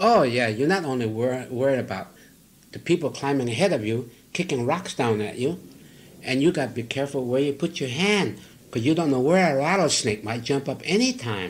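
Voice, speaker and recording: A normal speaking voice talks at a fairly quick pace with lively intonation. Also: man, medium pitch for a man. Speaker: cinematographer. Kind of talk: interview answer.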